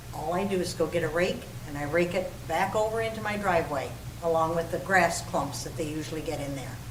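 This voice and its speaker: At a fairly quick pace, a woman talks with a fairly low pitch and ordinary pitch variation. Audible room echo and noticeable background noise fill the recording. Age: 80s+. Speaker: city council member. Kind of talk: public meeting debate.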